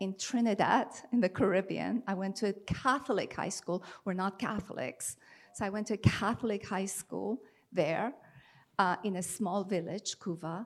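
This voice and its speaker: A woman with an Iranian accent talks at a moderate pace, her medium pitch varying in an ordinary way. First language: Farsi. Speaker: poet and translator. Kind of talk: panel discussion and poetry reading. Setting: stage with audience. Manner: animated.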